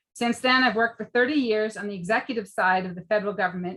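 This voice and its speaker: A woman with an American accent speaks at a medium pitch in a bright, sharp tone. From Maryland, US (Bethesda). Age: 60s. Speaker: political candidate. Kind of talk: opening statement at a candidate forum. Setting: public debate forum.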